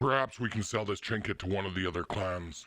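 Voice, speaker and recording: A man's put-on character voice, fairly low in pitch, at a very fast pace with ordinary pitch variation, in a very clean recording with a silent background. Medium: machinima. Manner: calm, earnest.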